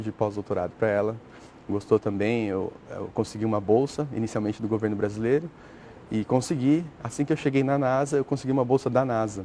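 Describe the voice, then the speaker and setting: A man's medium-pitched voice moves at a fairly quick pace with ordinary pitch variation. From Brazil, São Paulo state. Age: 30s. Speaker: astrobiologist, NASA researcher. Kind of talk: TV interview. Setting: TV studio. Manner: hesitant, filler-heavy (né).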